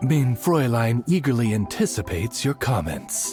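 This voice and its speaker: Over clear background music, a man does a cartoonish character voice at a medium pitch and a moderate pace. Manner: formal, courteous.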